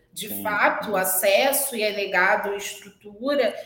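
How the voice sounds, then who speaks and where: A woman's voice moves through very wide pitch swings. Room echo is audible. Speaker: hotel general manager. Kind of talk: interview on live-stream. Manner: animated.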